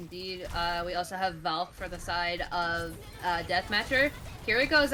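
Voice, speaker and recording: Music runs in the background. A woman talks over it. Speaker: esports caster. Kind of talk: live commentary. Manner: fast.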